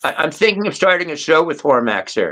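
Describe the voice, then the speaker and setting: A man speaks at a moderate pace with ordinary pitch variation. His tone is bright and sharp. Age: 60s. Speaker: live stream panel participant. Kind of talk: casual chat. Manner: rambling, animated.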